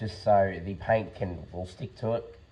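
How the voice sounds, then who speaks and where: A somewhat breathy man with an Australian accent, fairly low in pitch, dark and mellow in tone, with fairly even intonation. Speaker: car restoration youtuber. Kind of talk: tutorial. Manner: halting.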